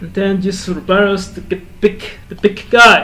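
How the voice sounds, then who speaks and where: The delivery is fairly slow, flat and monotone. Background noise is noticeable. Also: man. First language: Spanish. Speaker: gaming content creator. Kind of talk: gameplay commentary. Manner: halting.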